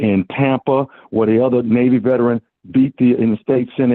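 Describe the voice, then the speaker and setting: This is a man with a plain, everyday voice at a medium pitch. He keeps a moderate pace and fairly even intonation. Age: 60s. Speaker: caller. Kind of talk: call-in comment.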